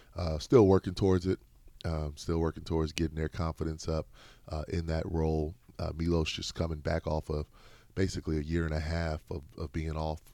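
In a very clean recording with a silent background, a man with an American accent speaks at a fairly quick pace in a very deep, low pitch, with monotone, flat intonation and a dark, mellow tone. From US Midwest. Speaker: college basketball coach. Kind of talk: interview. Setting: studio.

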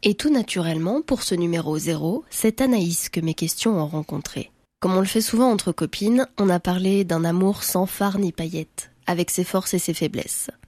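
A woman's dark, mellow voice at medium pitch, with ordinary pitch variation and a moderate pace, dry and close with no echo, on a very clean recording with a silent background. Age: 20s. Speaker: podcast host, journalist. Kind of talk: scripted narration.

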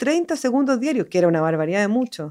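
A woman speaks in a high pitch with lively intonation. The recording is very clean, with a silent background. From Chile, Santiago. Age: 40s. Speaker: animation director. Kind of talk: interview.

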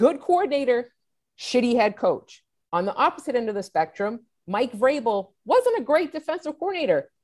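A woman talks in a high pitch at a moderate pace. Her pitch swings very widely. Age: 40s. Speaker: sports columnist. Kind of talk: interview.

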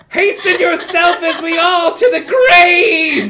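In a put-on character voice, the speaker talks at an extremely high pitch and a fairly slow pace. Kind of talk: archaic, theatrical.

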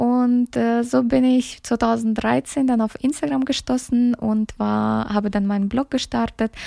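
A woman speaks very slowly at a fairly high pitch with ordinary pitch variation, very even loudness and a dark, mellow tone, the sound dry and close with no echo. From Kyrgyzstan, raised in Germany. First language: Russian (speaking German). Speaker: social media influencer and podcast host. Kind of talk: solo podcast introduction. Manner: hesitant with many filler sounds.

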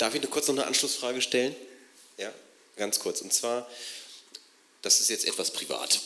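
The speech moves at a moderate pace with long, frequent pauses. Noticeable background noise sits behind it. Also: man. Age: 40s. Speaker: audience member. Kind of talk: Q&A question. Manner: halting.

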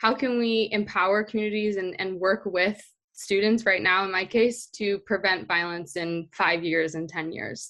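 A woman speaks at a moderate pace with hardly any pauses, her pitch medium and her intonation fairly even. She has an American accent. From Southern California, Orange County. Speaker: peace studies graduate and school peacebuilding worker. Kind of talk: interview.

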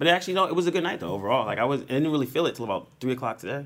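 A man with vocal fry moves through very wide pitch swings. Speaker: podcast host. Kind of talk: casual chat. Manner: animated.

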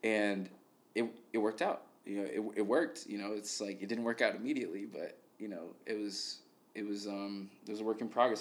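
With an American accent, a man speaks at a moderate pace in a normal speaking voice. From Chicago, Logan Square. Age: 20s. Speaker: singer. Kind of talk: casual chat. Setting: studio.

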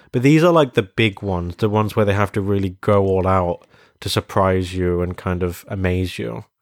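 Dry and close with no echo, the recording has a man with a British accent speaking at a moderate pace in a very deep, low pitch with ordinary variation. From Britain. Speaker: podcast co-host. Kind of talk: casual chat. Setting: in-person recording at home on a sofa. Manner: animated.

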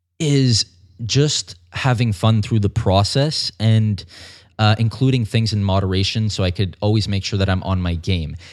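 On a very clean recording with a silent background, a man speaks fairly slowly in a plain, everyday voice, fairly low in pitch with ordinary pitch variation. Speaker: fitness model and personal trainer. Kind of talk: casual interview.

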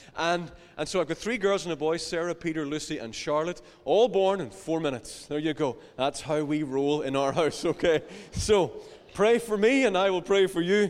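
This man has a high-pitched voice and lively intonation. His pace is moderate. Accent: Northern Irish. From Northern Ireland, County Down. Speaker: pastor. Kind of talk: sermon.

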